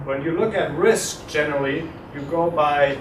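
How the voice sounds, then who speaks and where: Moderate-paced speech from a man, amid noticeable background noise and audible room echo. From Germany. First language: German. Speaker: insurance executive. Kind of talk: guest lecture. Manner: conversational, many filler words.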